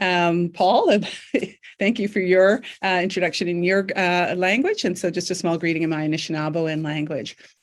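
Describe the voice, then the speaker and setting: This speaker has a Canadian accent and a plain, everyday voice. The pace is moderate, with ordinary pitch variation. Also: woman, fairly low pitch for a woman. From Northern Ontario, Canada. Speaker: professor. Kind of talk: academic panel presentation.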